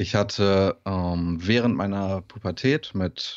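A man speaks in a very deep, low pitch with ordinary pitch variation. The background is quiet. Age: 20s. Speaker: bodybuilding coach and student; bodybuilding coach. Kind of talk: casual interview. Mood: personal, reflective story. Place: home room. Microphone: studio mic.

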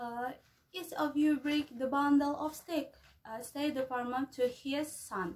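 With an Indonesian accent, a woman speaks at a fairly slow pace in a high pitch with ordinary pitch variation. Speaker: university student. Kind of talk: storytelling. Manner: halting. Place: home room. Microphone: phone near.

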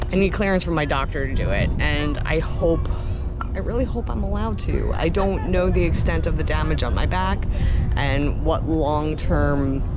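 Loud background noise behind a woman speaking at a moderate pace. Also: dry sound with no echo. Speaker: vlogger. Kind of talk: casual vlog chat. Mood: upbeat, chatty. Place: open country. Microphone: phone near.

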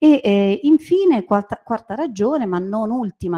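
At a moderate pace, a woman talks in a dark, mellow tone with lively intonation over a quiet background. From Rome, Italy; Italy. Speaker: university lecturer. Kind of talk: presentation. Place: classroom. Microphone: handheld.

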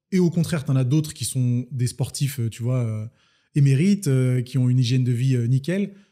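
A man's somewhat breathy voice, dark and mellow in tone, with ordinary pitch variation over a quiet background. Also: moderate pace. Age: 30s. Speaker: fitness coach and entrepreneur; fitness coach. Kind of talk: casual interview. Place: home room. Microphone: studio mic.

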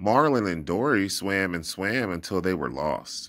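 It is a natural reading voice. The pitch variation is ordinary.

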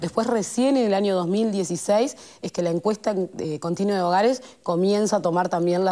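Against a quiet background, a woman talks at a fairly quick pace in a dark, mellow tone with ordinary pitch variation. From Uruguay, Montevideo (Cerro Norte); Uruguay. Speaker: government social development official; guest. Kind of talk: talk show interview. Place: studio. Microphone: lapel.

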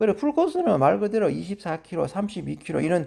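High-pitched male speech with a dark, mellow tone, delivered at a moderate speed. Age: 50s. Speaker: amateur marathon runner. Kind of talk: casual monologue.

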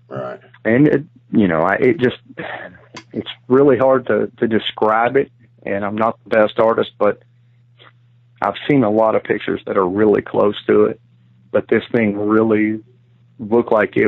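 A man with a Kentucky accent speaks at a moderate pace, with long, frequent pauses. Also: medium pitch for a man, ordinary pitch variation. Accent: Kentucky Southern US. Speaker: outdoorsman recounting encounter. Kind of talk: testimony.

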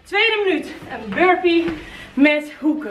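Faint music plays behind a woman speaking at an extremely high pitch. Her pace is very slow. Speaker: fitness instructor. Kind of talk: workout instruction, coaching calls. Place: gym. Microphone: camera far.

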